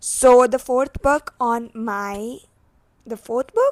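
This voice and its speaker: In a dry, close recording with no echo, a woman with a high pitch speaks at a fairly slow pace with fairly even intonation. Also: very clean recording, silent background. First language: not English. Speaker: booktuber. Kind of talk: casual vlog chat.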